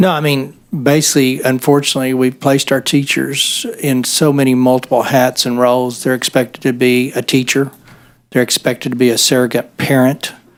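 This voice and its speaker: A man at a medium pitch, in an American accent, with monotone, flat intonation. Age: 60s. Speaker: state senator. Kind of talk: committee hearing discussion.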